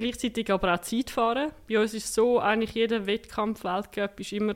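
A woman has an unremarkable speaking voice with a fairly high pitch. She talks at a moderate pace. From Switzerland, canton of Zurich. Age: 20s. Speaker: para-cyclist and political science student. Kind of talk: interview.

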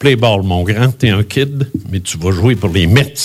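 Lively intonation carries a man's medium-pitched voice with a Quebec accent on a very clean recording against a silent background. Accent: Québécois French. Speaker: retired radio host, UFO contactee. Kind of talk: speech at tribute event.

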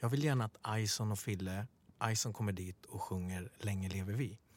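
Over a very clean recording with a silent background, a man talks at a moderate pace in an unremarkable speaking voice. His pitch sits fairly low, with ordinary variation. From Sweden, Stockholm (Bredäng). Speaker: podcast co-host. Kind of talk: casual interview chat.

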